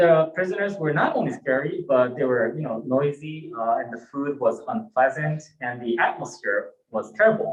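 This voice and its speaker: Here a man speaks with a Japanese accent. His pitch sits fairly high. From Japan (born in Hawaii, moved to Japan at eight). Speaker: Buddhist minister. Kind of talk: sermon. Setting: temple service, livestreamed. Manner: halting, many fillers.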